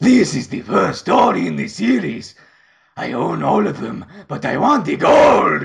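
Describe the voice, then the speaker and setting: A man talks in a put-on character voice that sounds raspy. He keeps a moderate pace. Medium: fan dub. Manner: frantic, greedy.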